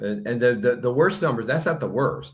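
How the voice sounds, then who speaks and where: At a fairly quick pace, a man talks in a medium pitch with very wide pitch swings. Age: 60s. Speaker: online news platform owner. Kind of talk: interview.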